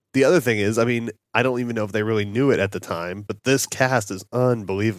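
Very fast and at a medium pitch, a man talks with ordinary pitch variation on a very clean recording with a silent background. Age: 30s. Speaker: movie podcast host. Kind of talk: casual chat.

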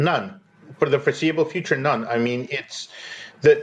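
At a fairly quick pace, a man speaks with a somewhat breathy voice at medium pitch. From Eastern Ukraine. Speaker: journalist. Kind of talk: interview. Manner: halting, with fillers and repetitions.

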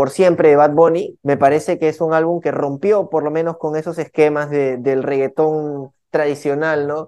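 With fairly even intonation, a man talks fairly slowly in a fairly high pitch and a dark, mellow tone. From Peruvian Amazon, San Martín (Lamas). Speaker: urban music artist. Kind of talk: interview.

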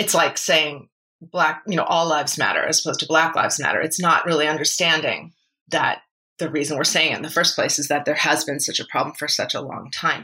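Speaking at a very fast pace, a woman has a very deep, low pitch and a bright, sharp tone. She talks with an American accent. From Massachusetts (Brookline). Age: 40s. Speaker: musical comedian. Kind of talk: interview.

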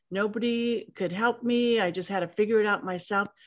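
An unremarkable speaking voice moves at a fairly quick pace with ordinary pitch variation over a quiet background. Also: woman. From Los Angeles, US. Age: 60s. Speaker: author, leadership expert, professor. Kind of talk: interview, personal story.

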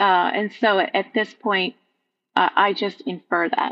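This woman has an American accent and a medium-pitched voice. She talks at a fairly slow pace. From Vermont, US Northeast. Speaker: nature journaling teacher. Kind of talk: casual interview.

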